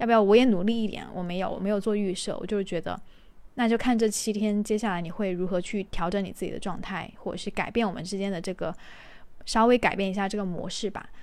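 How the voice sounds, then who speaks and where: Her medium pitch held in fairly even intonation, a woman talks at a very fast pace. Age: 20s. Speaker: podcast host. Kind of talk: casual solo monologue. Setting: recording at home while cooking.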